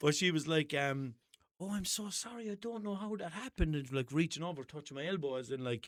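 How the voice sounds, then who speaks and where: A man with a Limerick accent rattles along at a very fast pace, his fairly high pitch set in an animated tone with lively intonation. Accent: Limerick Irish. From Ireland, Limerick. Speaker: podcast host. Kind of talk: casual chat. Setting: small studio. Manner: animated storytelling.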